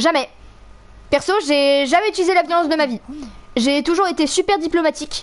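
Speaking at a moderate pace with long, frequent pauses, a woman uses a high pitch and ordinary pitch variation. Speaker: gaming streamer. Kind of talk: angry rant while gaming, swearing and yelling at the game. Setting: live stream, playing a video game with headset. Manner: loud, exasperated, explosive, with sarcastic outbursts and laughter.

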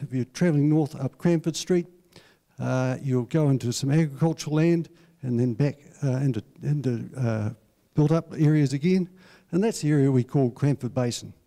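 A man's dark, mellow tone carries ordinary pitch variation against a quiet background. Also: moderate pace. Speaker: council presenter. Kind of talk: public talk presentation. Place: hall. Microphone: handheld.

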